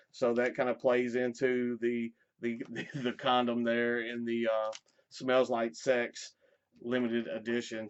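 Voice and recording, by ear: A man's clear, smooth voice at medium pitch, slow in pace and monotone, with flat intonation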